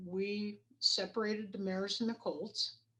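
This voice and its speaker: This woman has a plain, everyday voice, with an American accent, medium pitch and fairly even intonation. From Idaho. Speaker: rodeo coach and equine studies educator. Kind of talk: interview.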